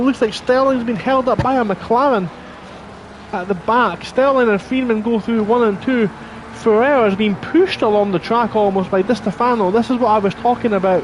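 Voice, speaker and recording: Over noticeable background noise, a man with a high voice speaks at a fairly quick pace with fairly even intonation. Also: very even loudness. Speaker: sim racing commentator. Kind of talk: live commentary.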